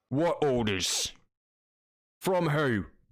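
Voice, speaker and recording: A man uses a put-on character voice pitched fairly high. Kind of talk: game master character voice. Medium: actual play. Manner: blunt, gruff.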